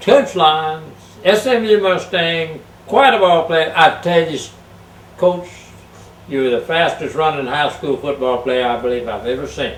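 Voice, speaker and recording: A man with a Texan accent and a fairly high pitch talks with lively intonation at a fairly slow pace, leaving long, frequent pauses. Noticeable background noise and audible room echo surround his voice. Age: 70s. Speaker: sports show host. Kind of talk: casual interview.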